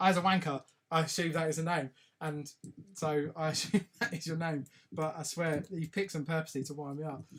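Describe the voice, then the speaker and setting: A man with an English accent speaks at a fairly quick pace in a fairly high pitch, with fairly even intonation. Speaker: live stream host. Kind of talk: casual live stream chat. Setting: live video stream.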